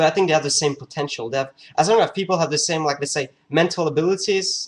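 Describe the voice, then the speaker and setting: This man talks in a fairly high pitch with a non-native accent and ordinary pitch variation. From France. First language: French. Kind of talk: casual talk to camera. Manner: hesitant, many fillers.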